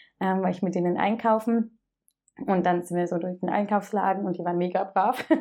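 Her voice is dark and mellow at a medium pitch. The woman talks at a fairly quick pace with fairly even intonation. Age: 30s. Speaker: dental assistant and church youth worker. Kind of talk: interview testimony. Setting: in person with host.

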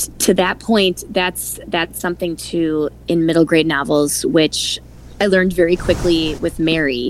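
A woman speaks with fairly even intonation. Noticeable background noise is present. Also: fairly low pitch for a woman, fairly slow pace. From Wisconsin, Milwaukee. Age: 40s. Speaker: author. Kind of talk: interview.

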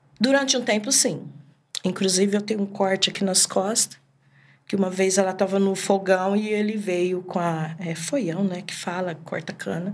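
Hers is an unremarkable speaking voice at medium pitch. The woman keeps a moderate pace and fairly even intonation. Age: 50s. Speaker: evangelist. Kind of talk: testimony.

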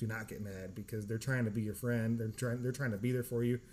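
This is an ordinary speaking voice, a man's, with an American accent. His pitch is medium and his intonation fairly even. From California. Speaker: podcast host, military veteran. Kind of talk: casual chat.

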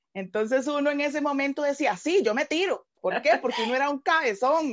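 A high-pitched female voice moving at a fairly quick pace. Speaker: pastor. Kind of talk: casual chat.

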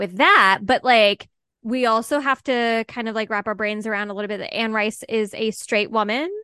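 A woman with a bright, sharp tone and fairly high pitch at a moderate pace, over a quiet background. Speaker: podcast co-host. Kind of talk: casual chat. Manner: animated.

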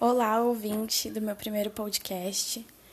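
A woman speaks in a fairly high pitch with a flat, monotone delivery over noticeable background noise. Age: 20s. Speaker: digital marketer. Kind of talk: solo podcast monologue. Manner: casual, with many filler words.

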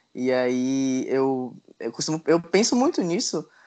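A man speaks at a fairly high pitch against a quiet background. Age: 20s. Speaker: advertising professional. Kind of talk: casual chat.

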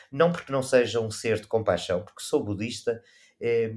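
Speaking at a moderate pace, a man with a medium pitch and ordinary pitch variation is captured in a very clean recording with a silent background. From Portugal. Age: 50s. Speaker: travel photographer. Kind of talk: casual chat. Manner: animated.

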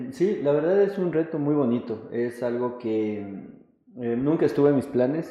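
Amid noticeable background noise, a man speaks fairly slowly at a fairly high pitch. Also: ordinary pitch variation. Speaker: businessman and football club president. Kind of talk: interview. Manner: hesitant, many fillers.

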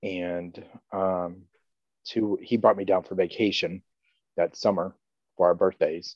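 A very deep-voiced man with an American accent, flat and monotone, at a fairly slow pace with long, frequent pauses against a quiet background. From North Carolina and southeast Kansas. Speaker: church member. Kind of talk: interview, personal testimony. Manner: halting, with many fillers.

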